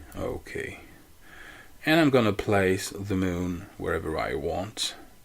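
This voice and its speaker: A man speaks at a very slow pace with a non-native accent. His pitch sits fairly low. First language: not English. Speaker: photo editing tutorial maker. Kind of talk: tutorial. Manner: halting.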